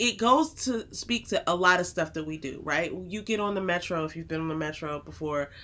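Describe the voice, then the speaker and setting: A loud voice with a bright, sharp tone. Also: woman, fairly low pitch for a woman, ordinary pitch variation, fairly quick pace. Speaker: podcast co-host, married couple Bible discussion. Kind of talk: casual chat. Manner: fast.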